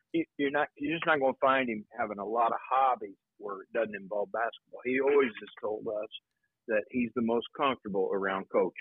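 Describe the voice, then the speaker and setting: A man with a Midwestern American accent, medium in pitch. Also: ordinary pitch variation, fairly quick pace. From Indiana, Anderson. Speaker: high school basketball coach. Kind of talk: interview.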